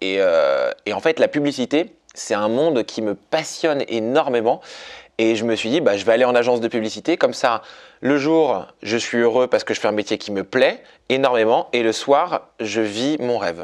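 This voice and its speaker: Over a quiet background, a man speaks at a medium pitch and moderate pace with ordinary pitch variation. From Paris, France. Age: 20s. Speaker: comedian and dancer. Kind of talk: interview. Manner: animated.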